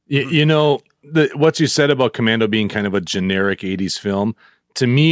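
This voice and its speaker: On a very clean recording with a silent background, a man with a normal speaking voice talks fairly quickly at a medium pitch, with ordinary pitch variation and a dry, close sound with no echo. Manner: laughing, easygoing.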